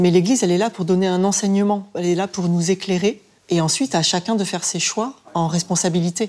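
Using fairly even intonation, a woman with a dark, mellow tone speaks at a fairly quick pace. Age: 40s. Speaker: parish volunteer. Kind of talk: casual chat. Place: home room.

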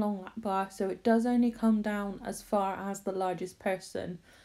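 A woman speaks with a fairly high pitch and a dark, mellow tone. Her intonation is monotone and flat. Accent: Bristolian. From Bristol, England. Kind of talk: casual talk to camera.

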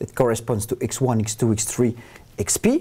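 A man talks at a very slow pace. His pitch swings very widely. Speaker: university lecturer. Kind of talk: lecture. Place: studio.

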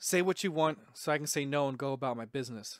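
A man puts on a raspy character voice, fairly high in pitch and delivered at a very fast pace. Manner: flat, unenthusiastic.

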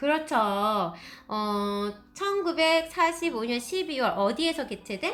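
A woman speaks very slowly in a high pitch, with very wide pitch swings. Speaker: teacher. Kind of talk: lecture.

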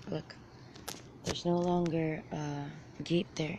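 A woman's very deep, low voice with fairly even intonation, dry with no echo, against noticeable background noise. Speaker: vlogger. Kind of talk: casual vlog chat. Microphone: phone near.

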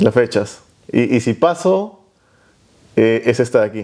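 A man's dark, mellow voice at a fairly slow pace against a quiet background. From Peru. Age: 20s. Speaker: fitness youtuber. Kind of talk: casual chat. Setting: host's home. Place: home room. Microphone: lapel.

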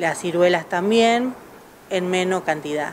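Light background noise accompanies speech at a fairly slow pace. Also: woman. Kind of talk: interview answer. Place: shop. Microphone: handheld.

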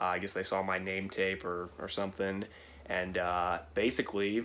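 A man speaks in a fairly low pitch. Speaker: vlogger. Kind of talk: casual vlog chat. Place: home room. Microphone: phone near.

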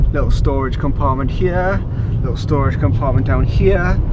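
Loud background noise sits behind a man speaking at a moderate pace, with a dry sound and no echo. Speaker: driver vlogger. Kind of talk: casual vlog chat. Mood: sarcastic, swearing, joking. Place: car. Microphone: camera far.

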